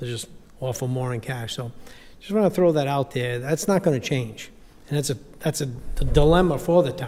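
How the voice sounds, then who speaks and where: Somewhat breathy with a dark, mellow tone, a man talks at a fairly quick pace broken by long, frequent pauses. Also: fairly high pitch for a man, ordinary pitch variation. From Rhode Island. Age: 60s. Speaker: real estate agent, public commenter. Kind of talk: public comment at meeting. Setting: public workshop meeting. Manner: animated.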